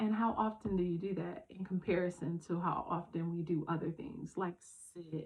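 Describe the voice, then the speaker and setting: Somewhat breathy and fairly low in pitch, a woman speaks at a moderate pace with fairly even intonation. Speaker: self-care vlogger. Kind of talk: casual talk to camera.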